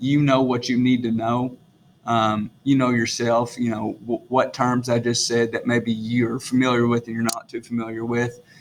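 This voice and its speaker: A man with a strong Southern US accent talks at a moderate pace, his medium-pitched voice flat and monotone. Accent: strong rural Southern, self-described country. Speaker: teacher. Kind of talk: recorded lesson video for students. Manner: casual with many fillers.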